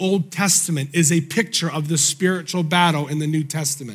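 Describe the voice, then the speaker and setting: The speaker sounds animated and keeps a moderate pace. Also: man. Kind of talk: sermon. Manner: animated, call-and-response preaching; emphatic, urgent, driving rhythm.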